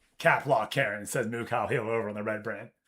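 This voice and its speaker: The loud voice has a bright, sharp tone and moves at a fairly slow pace. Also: man. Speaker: video game streamer. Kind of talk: casual chat. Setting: livestream. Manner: animated.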